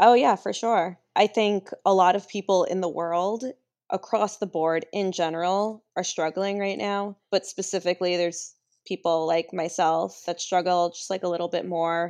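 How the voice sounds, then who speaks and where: An ordinary speaking voice from a woman at medium pitch and moderate pace, with fairly even intonation over a quiet background. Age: 30s. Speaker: illustrator and mental health advocate. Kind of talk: casual interview chat.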